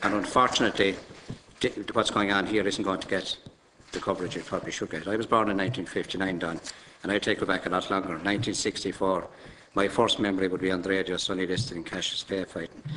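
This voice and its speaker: A man with an Irish accent, fairly low-pitched and monotone with flat intonation, at a very fast pace. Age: 50s. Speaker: politician. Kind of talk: committee testimony. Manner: halting.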